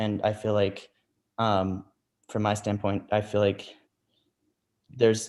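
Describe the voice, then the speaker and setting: A man's put-on character voice, mumbling at a fairly low pitch and a fairly slow pace, with monotone, flat intonation and long, frequent pauses. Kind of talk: hesitant, filler words.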